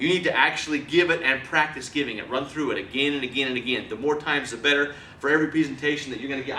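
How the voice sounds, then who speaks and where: Speaking very fast in a fairly high voice, a man is heard with noticeable background noise and audible room echo. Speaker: presentation skills trainer. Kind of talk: training lecture. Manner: animated.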